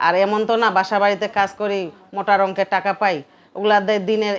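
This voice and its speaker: This woman talks in a monotone, with flat intonation. Her pitch is medium. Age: 30s. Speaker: domestic worker. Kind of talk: interview. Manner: soft-spoken.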